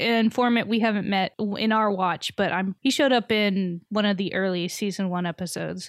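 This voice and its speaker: A woman's plain, everyday voice with an American accent, medium in pitch, at a moderate pace, dry and close with no echo. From Texas. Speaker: podcast host. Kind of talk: casual chat.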